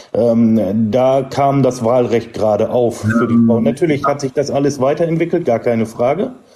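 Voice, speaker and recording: A man at a medium pitch and moderate pace, with ordinary pitch variation, very even loudness, hardly any pauses and noticeable background noise. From Emsland, northern Germany. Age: 30s. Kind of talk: debate.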